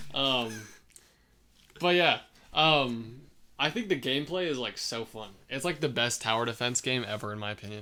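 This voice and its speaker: Quiet and bright with a sharp tone, a man speaks at a moderate pace and medium pitch with ordinary pitch variation and long, frequent pauses. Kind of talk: casual chat. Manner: frequent fillers, like and um.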